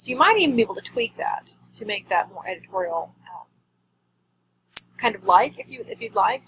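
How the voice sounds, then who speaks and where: Her words come out at a very fast pace. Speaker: journalism teacher. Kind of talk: recorded feedback tutorial. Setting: recorded video message.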